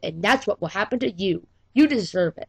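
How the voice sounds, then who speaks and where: A woman's put-on character voice, medium in pitch with very wide pitch swings, at a fairly quick pace in a dry, close sound with no echo. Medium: read story.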